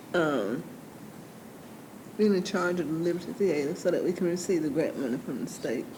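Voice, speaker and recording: Lively intonation marks a woman's fairly quick, fairly low-pitched speech, which has long, frequent pauses and audible room echo. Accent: American. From US South, Georgia. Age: 60s. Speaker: city council member. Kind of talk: council meeting discussion.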